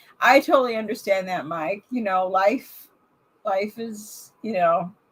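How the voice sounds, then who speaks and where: A woman with a somewhat breathy voice speaks at a fairly slow pace, her loudness swinging widely. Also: medium pitch for a woman, ordinary pitch variation. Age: 60s. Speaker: vlogger doing a livestream. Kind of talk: casual live chat with viewers. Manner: halting, many fillers and restarts. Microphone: new microphone being tested.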